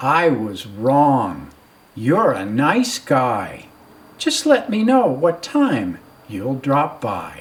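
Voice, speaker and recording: In a put-on character voice, the speaker talks at a very slow pace with a low-to-middle pitch. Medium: read story. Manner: cheerful, polite.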